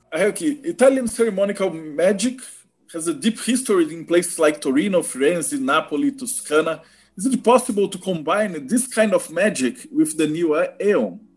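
Speaking in a Portuguese accent, a high-pitched man swings his pitch very widely. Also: moderate pace. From Brazil. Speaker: podcast host. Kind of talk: interview. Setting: video call. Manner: halting.

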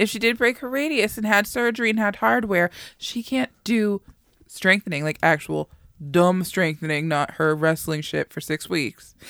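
In an unremarkable speaking voice, a woman with a fairly low pitch and lively intonation speaks at a moderate pace, recorded very cleanly against a silent background in a dry, close sound with no echo. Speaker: wrestling podcast co-host. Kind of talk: casual chat. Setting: studio. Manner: excitable.

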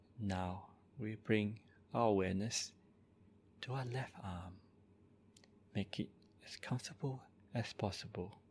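A man talks at a fairly slow pace in a calm, somewhat breathy tone, fairly low in pitch with ordinary pitch variation. Long, frequent pauses break up his speech. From Malaysia, moved to Australia at twelve. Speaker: Buddhist monk. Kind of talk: slow, soothing guided body-scan meditation with repeated gentle 'relax' cues. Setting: live-streamed recording at a monastery. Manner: calm, unhurried, softly repetitive instructions; halting with frequent 'uh' and 'um' fillers when speaking freely.

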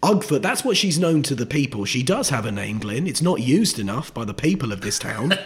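Over noticeable background noise, a man with a fairly high pitch speaks at a fairly quick pace with very wide pitch swings and hardly any pauses. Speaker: stand-up comedian. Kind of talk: casual chat.

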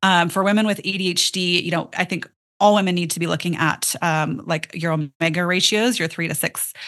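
A woman speaks in an ordinary speaking voice at a fairly quick pace, her pitch fairly low and her intonation fairly even, against a quiet background. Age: 40s. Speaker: functional nutrition and ADHD brain health practitioner. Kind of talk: interview.

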